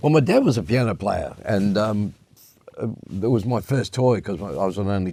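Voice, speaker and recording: Talking at a fairly quick pace, a man with an Australian accent has a fairly low pitch and a dark, mellow tone. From Western Australia (Perth area). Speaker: jazz piano player and music lecturer. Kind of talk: interview.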